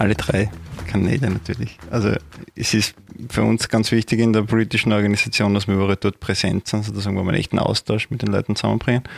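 Very fast speech from a man with a fairly low pitch, fairly even intonation and very even loudness, in a dry, close sound with no echo and noticeable background noise. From Austria, Upper Styria. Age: 30s. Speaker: party official. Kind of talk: interview. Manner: hesitant, many fillers.

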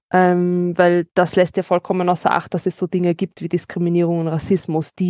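A woman speaks with a fairly low pitch and a dark, mellow tone. The sound is dry and close with no echo, over a quiet background. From Austria, Vienna. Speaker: legal adviser on anti-racism. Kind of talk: interview conversation.

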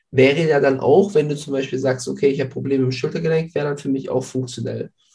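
A man's dark, mellow tone carries noticeable vocal fry. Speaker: podcast host. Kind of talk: casual interview.

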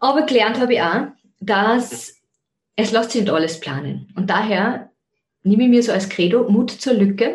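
A woman's fairly high voice with vocal fry, ordinary pitch variation, a moderate pace and long, frequent pauses. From Austria, Zell am See (Salzburg). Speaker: podcast host, life coach and yoga teacher. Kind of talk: personal monologue.

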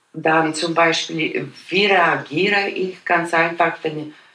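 A woman with a Polish accent talks at a very slow pace in a fairly low voice. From Poland. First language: Polish (speaking German). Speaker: immigrant interviewee. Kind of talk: personal storytelling interview. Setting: at her home.

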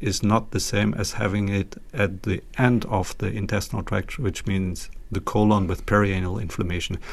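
This man has a fairly low pitch and a German accent. He keeps a moderate pace. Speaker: pediatric gastroenterology professor. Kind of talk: interview. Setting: video call. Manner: hesitant, many fillers.

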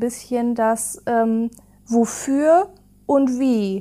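A woman's high-pitched, dark, mellow voice with ordinary pitch variation, in a very clean recording with a silent background. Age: 20s. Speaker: digitalization officer at care company. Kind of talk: casual interview. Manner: hesitant, many fillers.

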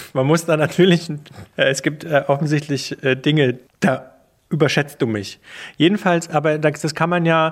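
A man speaks at a fairly slow pace with a fairly high pitch, fairly even intonation, and long, frequent pauses. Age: 40s. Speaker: radio journalist, podcast co-host. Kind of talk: casual chat.

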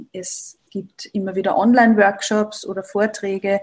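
At a moderate pace, a woman speaks at medium pitch, somewhat breathy. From Upper Austria. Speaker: Ayurveda practitioner, yoga teacher. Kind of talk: interview, personal story.

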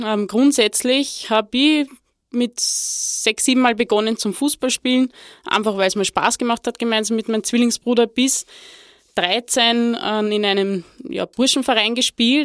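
A woman with a fairly high pitch speaks at a fairly slow pace, her intonation fairly even. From Lower Austria. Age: 30s. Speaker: former football player and women's football director. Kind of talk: interview. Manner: halting, many fillers.

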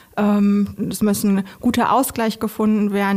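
A woman speaks in a dark, mellow tone at medium pitch. Her voice is somewhat breathy. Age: 30s. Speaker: recruiter. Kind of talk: interview. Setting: studio.

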